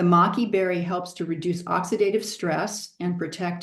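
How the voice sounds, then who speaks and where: With an American accent, a woman with a plain, everyday voice and fairly low pitch speaks at a moderate pace. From Southern California. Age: 60s. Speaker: product presenter. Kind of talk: product presentation.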